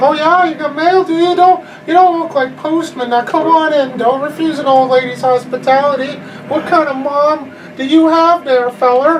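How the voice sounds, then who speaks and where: A man does a put-on character voice at an extremely high pitch. He keeps a moderate pace over clear background noise. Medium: actual play. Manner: folksy, pushy, volatile.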